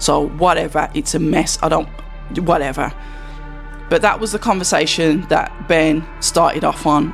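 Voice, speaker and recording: A man with a Birmingham accent at a moderate pace, with music in the background. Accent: Brummie. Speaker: boxing commentator. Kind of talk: casual talk to camera.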